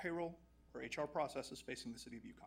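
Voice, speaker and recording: A man with vocal fry talks at a very fast pace, his pitch varying in an ordinary way. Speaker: HR and payroll consultant. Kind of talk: formal report presentation. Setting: council chambers.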